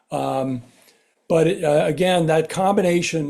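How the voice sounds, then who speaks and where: Pitch moves in an ordinary way. The voice has a dark, mellow tone. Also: man. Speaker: birding talk speaker. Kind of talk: lecture. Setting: bird club meeting. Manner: halting, many fillers.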